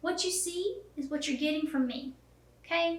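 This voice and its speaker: A woman speaks with a slight Southern US accent. Her pace is fairly quick. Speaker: photographer teaching online course. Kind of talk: tutorial. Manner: casual, down-to-earth with many fillers.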